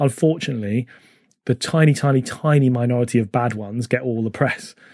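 A man with a normal speaking voice and a medium pitch talks at a moderate pace with ordinary pitch variation, the sound dry and close with no echo in a very clean recording with a silent background. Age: 40s. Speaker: running charity executive and podcast host. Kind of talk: interview.

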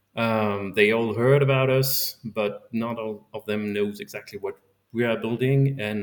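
Using fairly even intonation, a man with a French accent speaks at a medium pitch and a moderate pace. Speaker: science outreach volunteer. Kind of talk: interview. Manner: halting, repeats words.

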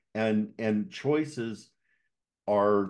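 A man's unremarkable speaking voice, fairly low in pitch, with ordinary pitch variation against a quiet background. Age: 60s. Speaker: podcast host and coach. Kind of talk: podcast interview conversation.

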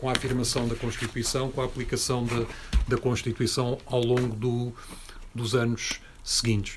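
A man at a medium pitch and moderate pace, with noticeable background noise. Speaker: activist and speaker. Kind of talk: talk and discussion with audience.

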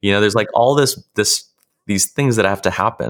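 With ordinary pitch variation, this man has a normal speaking voice. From California, US. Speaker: author and online course creator. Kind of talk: interview.

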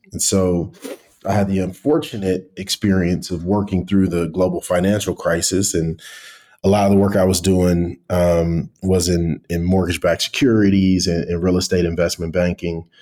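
A man speaks with a very deep, low pitch and a dark, mellow tone. His intonation stays fairly even. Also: moderate pace. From US Midwest, east side of Cleveland, Ohio. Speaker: tech company founder and CEO. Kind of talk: interview. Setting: remote call.

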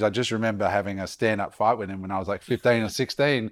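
On a very clean recording with a silent background, a man with an Australian accent speaks at a fairly low pitch and fairly even intonation. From Queensland, Australia. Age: 40s. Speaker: entrepreneur and speaker. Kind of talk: podcast interview. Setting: at guest's home.

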